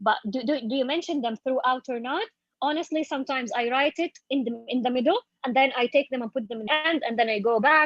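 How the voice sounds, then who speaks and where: Speaking at a very fast pace, a woman uses a high pitch. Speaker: university lecturer in applied linguistics. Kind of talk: workshop Q&A.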